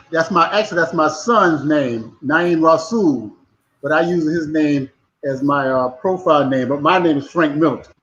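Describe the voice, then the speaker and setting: A man talks at a moderate pace in a normal speaking voice. His pitch is fairly high, with ordinary pitch variation. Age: 60s. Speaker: former pro football player. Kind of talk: casual chat.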